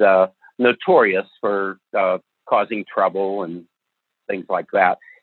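Very deep and low, a man's voice comes through with an American accent. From northern US. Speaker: retired business executive and ethics author. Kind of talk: interview conversation.

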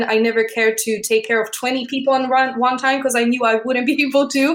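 Monotone, flat intonation from a woman with a Polish accent, a fairly high pitch, and a fairly quick pace. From Poland. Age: 30s. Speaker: artist and entrepreneur. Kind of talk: interview.

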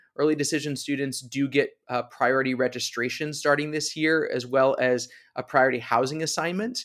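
An ordinary speaking voice from a man with an American accent, fairly high in pitch and fairly quick with hardly any pauses, with fairly even intonation in a very clean recording with a silent background. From US East Coast. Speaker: college admissions director. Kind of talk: interview.

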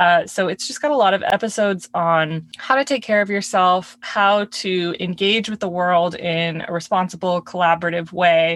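A woman with a plain, everyday voice talks at a moderate pace with hardly any pauses, her pitch medium and its variation ordinary. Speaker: wine podcast co-host. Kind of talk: casual chat. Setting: recording in a closet. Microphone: audio glitches, poor sound.

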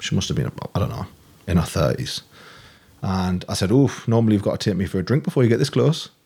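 Using a dark, mellow tone with vocal fry, a man speaks at a very fast pace with fairly low pitch, very wide pitch swings and long, frequent pauses. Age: 30s. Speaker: coach and ex-army veteran. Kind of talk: casual interview chat.

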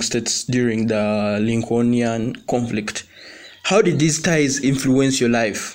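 A man at a medium pitch and fairly slow pace, with ordinary pitch variation, over noticeable background noise. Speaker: podcast host. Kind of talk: interview.

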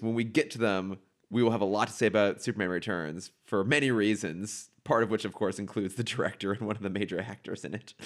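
In an American accent, a man with a fairly low pitch talks at a very fast pace on a very clean recording with a silent background. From US coasts. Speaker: podcast co-host. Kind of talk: casual chat.

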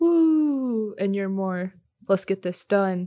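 A woman with a dark, mellow tone and medium pitch speaks at a very slow pace with lively intonation, the sound dry and close with no echo. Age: 20s. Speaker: college student and podcast co-host. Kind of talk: casual chat.

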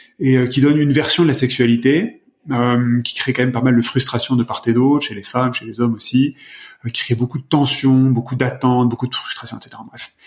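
Here a man speaks at a fairly quick pace, his medium pitch held in a monotone, flat intonation. His loudness swings widely. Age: 40s. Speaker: personal development practitioner. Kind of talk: casual chat. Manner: halting.

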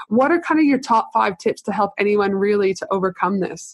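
Here a woman talks with an Australian accent at a medium pitch. She moves at a fairly quick pace with ordinary pitch variation. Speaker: podcast host, business consultant. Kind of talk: interview conversation. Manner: animated.

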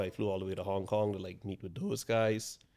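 A man speaks at a fairly low pitch. His intonation is flat and monotone. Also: very clean recording, silent background. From Bahamas. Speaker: real estate broker. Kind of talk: interview.

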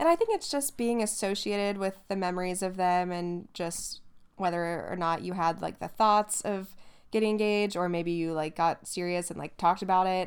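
A woman speaks at a moderate pace with fairly even intonation, in an unremarkable speaking voice. The recording is very clean, with a silent background. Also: medium pitch for a woman. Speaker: podcast co-host. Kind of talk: casual chat, podcast. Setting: laying in bed while recording.

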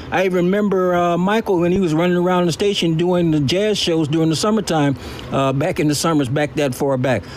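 Ordinary pitch variation at a fairly quick pace, with noticeable background noise. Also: man. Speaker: audience member, radio veteran. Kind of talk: casual question. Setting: audio chat app room.

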